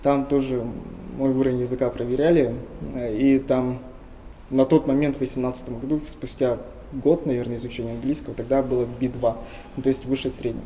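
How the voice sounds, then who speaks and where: A man's medium-pitched, monotone, flat delivery at a fairly quick pace, with long, frequent pauses. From Tuva, Russia. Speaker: linguist. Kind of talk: interview.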